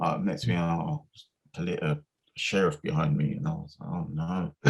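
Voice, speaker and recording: Speaking at a moderate pace, a man talks in an English accent. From Essex, England. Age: 50s. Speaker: music producer. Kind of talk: interview. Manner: halting.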